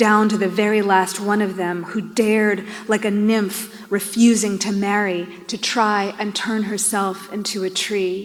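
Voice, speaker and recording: Noticeable background noise sits behind this woman's voice. She speaks fairly slowly at a medium pitch, with monotone, flat intonation. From New York. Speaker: poet. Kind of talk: poetry reading.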